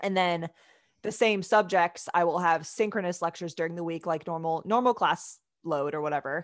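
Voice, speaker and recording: Speaking at a moderate pace, a woman has a fairly low pitch, ordinary pitch variation and a plain, everyday voice. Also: quiet background. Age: 30s. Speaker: physical therapy student and athletic trainer. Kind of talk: casual interview. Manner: many fillers like um and like.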